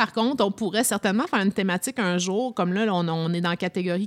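In a very clean recording with a silent background, a woman with a normal speaking voice talks at medium pitch with ordinary pitch variation. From Toronto, Canada. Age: 40s. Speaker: podcast host. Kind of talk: casual chat.

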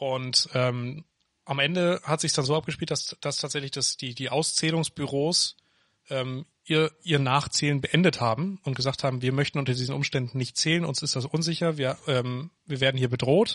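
With a plain, everyday voice, a man talks at a moderate pace with fairly high pitch and fairly even intonation, in a dry, close sound with no echo over a quiet background. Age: 20s. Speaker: podcast co-host. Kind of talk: casual chat. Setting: home office.

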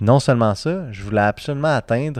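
Against a quiet background, a man speaks in a normal speaking voice with lively intonation. The sound is dry and close with no echo, and his pace is moderate. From Serbia, raised in Quebec. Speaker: entrepreneur, nonprofit founder. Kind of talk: casual chat.

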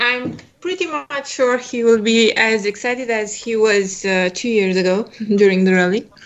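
A woman with a Romanian accent talks at a moderate pace in a fairly high pitch with lively intonation, over noticeable background noise. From Romania, Bucharest. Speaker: rally team member. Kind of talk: casual interview.

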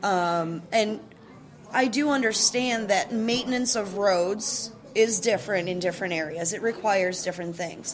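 A woman with an American accent has a plain, everyday voice. She speaks at a moderate pace with a medium pitch and ordinary pitch variation. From Chicago area, US Midwest. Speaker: podcast host. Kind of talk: casual interview. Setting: local brewery.

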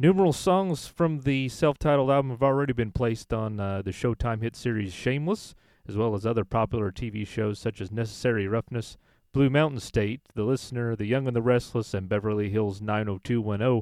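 Against a quiet background with a dry, close sound and no echo, a man with an unremarkable speaking voice talks at a fairly quick pace, medium pitch and ordinary pitch variation. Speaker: radio host. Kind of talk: radio DJ patter introducing indie bands and songs between tracks. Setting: radio show, studio. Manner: upbeat, casual, friendly announcer, chatty with light laughter.

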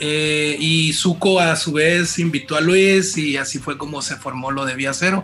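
Over noticeable background noise, a man with a fairly high pitch speaks at a fairly slow pace with fairly even intonation. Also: hardly any pauses. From Mazatlán, Sinaloa, Mexico. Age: 30s. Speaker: band singer and guitarist. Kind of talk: casual interview.

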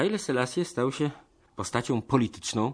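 With very wide pitch swings around a medium pitch, a man speaks at a moderate pace over a quiet background. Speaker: radio host. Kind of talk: radio documentary presentation.

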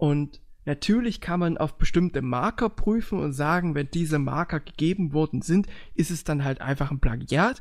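A man speaks in a plain, everyday voice, fairly high in pitch with ordinary pitch variation. He goes at a fairly slow pace on a very clean recording with a silent background. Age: 20s. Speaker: podcast host. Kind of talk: casual chat.

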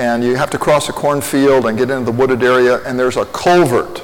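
A man speaks at a medium pitch with a Midwestern American accent, amid noticeable background noise and audible room echo. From Indiana (Lafayette). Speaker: pastor. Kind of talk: sermon.

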